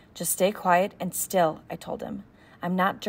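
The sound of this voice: Reading in an unforced voice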